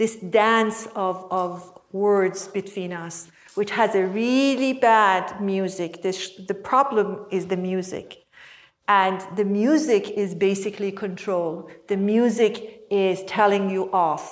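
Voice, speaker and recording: A woman speaks at a very slow pace with a non-native accent. Her medium-pitched voice keeps a fairly even intonation. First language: not English. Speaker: mindfulness teacher and coach. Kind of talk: workshop teaching. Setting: workshop with participants.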